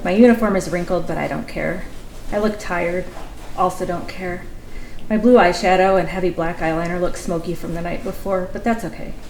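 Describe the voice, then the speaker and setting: At a fairly quick pace, a woman with a medium pitch speaks with fairly even intonation amid audible room echo and noticeable background noise. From Kentucky. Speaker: writer reading her own story. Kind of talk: reading aloud. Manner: fast.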